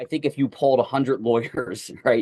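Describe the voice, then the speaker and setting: A man with a Philadelphia accent at a moderate pace, over a quiet background. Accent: Philadelphia, Northeastern US. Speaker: trial lawyer, former prosecutor. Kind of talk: interview.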